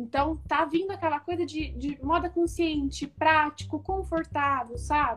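Speaking at a fairly slow pace with hardly any pauses, a woman talks in a high pitch with ordinary pitch variation. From São Paulo state interior, Brazil (São José do Rio Preto). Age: 20s. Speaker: image consultant and fashion influencer. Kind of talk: casual interview on live stream. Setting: Instagram live video.

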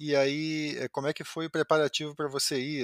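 Recorded dry and close with no echo against a very clean, silent background, a man speaks at a fairly high pitch. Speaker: podcast host. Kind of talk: interview.

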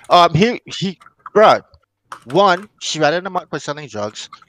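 The sound is dry and close, with no echo. A man speaks at a moderate pace with lively intonation and a fairly high pitch. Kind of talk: casual chat. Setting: video call. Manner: loud, joking.

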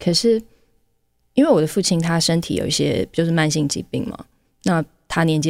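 A woman's fairly low voice with vocal fry and lively intonation. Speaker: podcast host. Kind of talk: solo podcast monologue.

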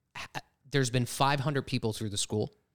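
An American-accented man with ordinary pitch variation, in a dry, close sound with no echo. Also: very clean recording, silent background. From Pennsylvania. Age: 30s. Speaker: real estate team leader. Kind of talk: casual chat.

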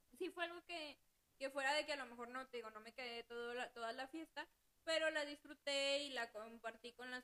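With a raised, projected voice, a woman speaks at a high pitch in a bright, sharp tone with ordinary pitch variation. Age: 20s. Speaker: accounting assistant. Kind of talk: casual chat.

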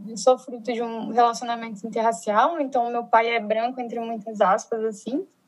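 A woman at fairly high pitch, a moderate pace and big swings in loudness. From Brazil, Brasília. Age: 20s. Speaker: social project founder, sociologist. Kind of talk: casual chat. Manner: animated.

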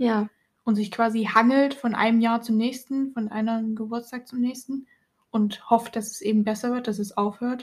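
Her fairly high voice stays monotone and flat as this woman speaks at a moderate pace. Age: 20s. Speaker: podcast co-host. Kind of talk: casual chat.

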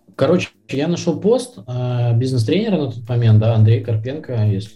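Audible room echo surrounds a somewhat breathy voice with a dark, mellow tone. The pace is moderate and the pitch variation is ordinary. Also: man. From Belarus, Minsk. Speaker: sales professional. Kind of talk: casual interview.

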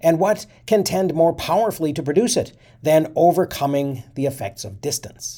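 A man in an ordinary speaking voice talks at a moderate pace with lively intonation. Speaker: history podcast narrator reading a historical speech. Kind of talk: reading aloud a 19th-century congressional speech, with short commentary. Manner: formal, measured oratorical delivery.

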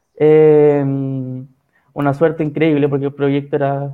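Speaking at a fairly high pitch, a man talks with a Chilean accent. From San Felipe, Chile. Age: 20s. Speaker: physiotherapist guest. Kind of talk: live stream interview. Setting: video call live stream.

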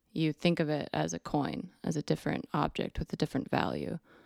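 On a very clean recording with a silent background, a woman speaks at a fairly quick pace, the sound dry and close with no echo. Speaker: bookshop worker, guest. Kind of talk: casual chat.

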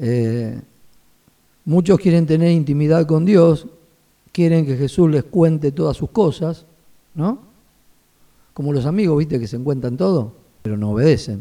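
A man with a fairly high pitch and a Rioplatense accent, lively intonation, and long, frequent pauses. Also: fairly slow pace. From Buenos Aires, Argentina. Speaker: pastor and seminary vice-rector. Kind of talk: casual interview.

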